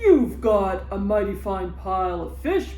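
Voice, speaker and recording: The speaker uses a put-on character voice at a fairly slow pace. Clear background noise runs underneath. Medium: read story. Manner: eager, trusting.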